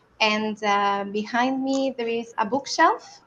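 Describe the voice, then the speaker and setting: A woman with an Italian accent speaks at a fairly high pitch with fairly even intonation. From Italy. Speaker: researcher. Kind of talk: online panel discussion.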